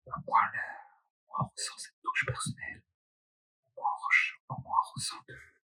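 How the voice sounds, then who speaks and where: A man whispers softly at a moderate pace, with long, frequent pauses and big swings in loudness. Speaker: ASMR creator. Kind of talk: ASMR casual talk. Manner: soft, lightly whispered.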